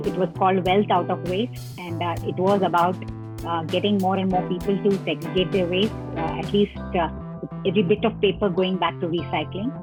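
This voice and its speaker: A woman's fairly low voice at a fairly quick pace, with ordinary pitch variation and music in the background. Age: 60s. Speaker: waste management activist. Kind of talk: interview answer.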